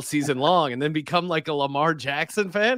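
On a very clean recording with a silent background, a man uses a normal speaking voice with lively intonation at a moderate pace. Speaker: daily fantasy sports player. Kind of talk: casual chat.

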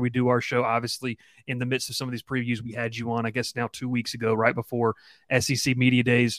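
Very fast speech from a man, with a dry, close sound and no echo. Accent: Southern US. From Georgia, Columbus. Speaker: college football reporter. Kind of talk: casual chat.

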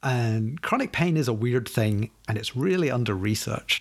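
Here a man talks with a Scottish accent at a medium pitch. His intonation is lively. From Scotland. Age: 40s. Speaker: app developer. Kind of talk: casual chat. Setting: remote recording.

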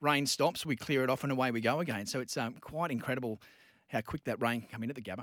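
Speaking at a very fast pace with fairly even intonation, a man has a bright, sharp tone on a very clean recording with a silent background. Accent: Australian. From Newcastle, Australia. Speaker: sports MC and commentator. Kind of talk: casual chat. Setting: radio studio.

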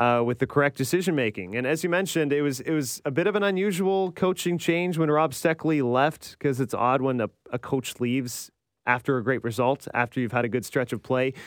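A man with a plain, everyday voice talks at a moderate pace and ordinary pitch variation, with a dry, close sound with no echo against a quiet background. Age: 30s. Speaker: tennis podcast host. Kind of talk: casual chat.

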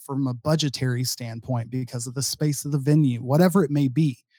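This voice has an American accent, a dark, mellow tone, a moderate pace and fairly even intonation. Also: man. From Dallas-Fort Worth, Texas. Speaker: podcast co-host. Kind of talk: casual chat.

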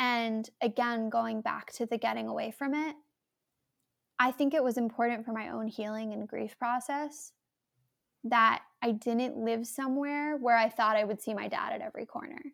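A woman's normal speaking voice, fairly high in pitch, with an American accent, fairly even intonation and a moderate pace. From New York City, Manhattan. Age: 20s. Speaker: playwright. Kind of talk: interview. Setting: video or remote call.

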